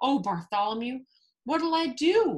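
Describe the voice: Putting on a character voice, a woman speaks at a high pitch and fairly slow pace with big pitch swings.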